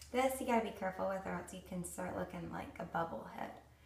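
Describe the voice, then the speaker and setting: Speaking with an American accent, a woman is heard over noticeable background noise with audible room echo. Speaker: beauty vlogger. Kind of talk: tutorial. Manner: casual, chatty with many fillers.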